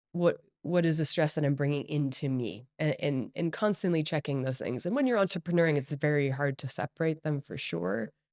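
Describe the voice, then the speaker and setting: An energetic speaker with an American accent uses ordinary pitch variation. The sound is dry and close with no echo, on a very clean recording with a silent background. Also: woman. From Hong Kong and Singapore, Californian family. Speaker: company CEO and entrepreneur. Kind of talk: podcast interview.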